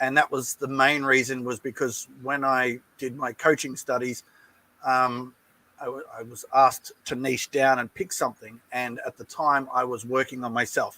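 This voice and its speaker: A man with an Australian accent speaks at a moderate pace and medium pitch, his bright, sharp tone delivered in a flat monotone with a dry, close sound and no echo. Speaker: relationship coach. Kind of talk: interview.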